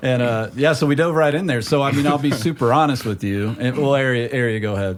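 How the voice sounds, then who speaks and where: Noticeable background noise fills the clip. The man's speech races at a very fast pace. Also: medium pitch for a man, ordinary pitch variation. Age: 40s. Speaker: podcast host. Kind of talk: casual chat.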